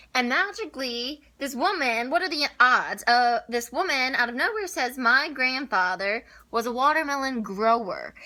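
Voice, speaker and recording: A woman projects her raised voice at a high pitch and a moderate pace, her tone bright, sharp and animated, with lively intonation and hardly any pauses. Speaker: lifestyle vlogger. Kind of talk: casual vlog talk. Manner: loud.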